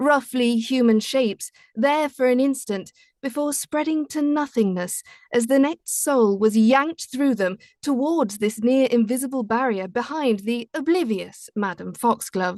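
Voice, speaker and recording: A woman speaks at a fairly slow pace in a British accent, her voice high-pitched with ordinary pitch variation. The sound is dry and close, with no echo. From Britain. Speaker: audiobook narrator. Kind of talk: reading aloud.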